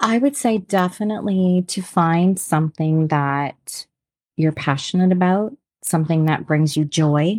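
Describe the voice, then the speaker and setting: A woman with an unremarkable speaking voice and a Canadian accent speaks at a fairly low pitch and a fairly slow pace, with ordinary pitch variation, very even loudness, and a dry, close sound with no echo. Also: very clean recording, silent background. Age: 50s. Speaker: entrepreneur. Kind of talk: interview.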